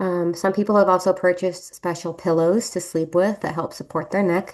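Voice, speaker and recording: Speech comes at a very fast pace in a monotone, flat intonation. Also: woman. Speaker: nurse. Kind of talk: presentation. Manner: hesitant, many fillers.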